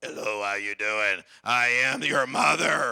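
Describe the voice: Putting on a character voice, a man sounds strained and raspy at a fairly slow pace. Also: medium pitch for a man.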